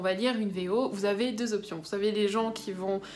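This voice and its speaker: Audible room echo hangs around the woman as she talks. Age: young. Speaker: book vlogger. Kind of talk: casual vlog talk. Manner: hesitant, many fillers.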